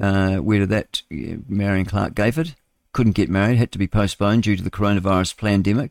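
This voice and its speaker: Here is an unremarkable speaking voice from a man with fairly low pitch. His loudness stays very even, with ordinary pitch variation. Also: fairly quick pace. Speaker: radio show host reading news headlines. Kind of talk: casual, chatty asides between headlines.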